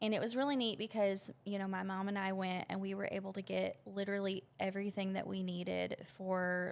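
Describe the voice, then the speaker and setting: Someone with a Southern US accent speaks at a moderate pace. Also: woman. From Arkansas. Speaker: business owner. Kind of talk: interview. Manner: casual, with many fillers.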